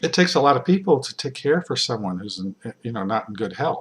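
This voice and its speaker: Here a man talks at medium pitch. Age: 60s. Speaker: author and health commentator. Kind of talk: video monologue. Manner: halting, many fillers.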